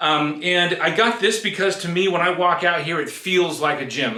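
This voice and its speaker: A man talks amid audible room echo, with noticeable background noise present. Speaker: fitness vlogger. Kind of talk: tutorial. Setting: garage home gym. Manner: fast.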